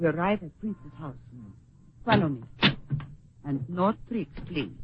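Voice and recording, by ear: Using a put-on character voice, a woman talks at a fairly slow pace with a fairly low pitch, a husky, rough edge and lively intonation.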